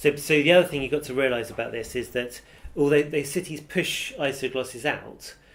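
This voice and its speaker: With an ordinary speaking voice, a man talks at a fairly quick pace and fairly high pitch, his intonation fairly even. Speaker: university professor, dialect researcher. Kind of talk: interview answer.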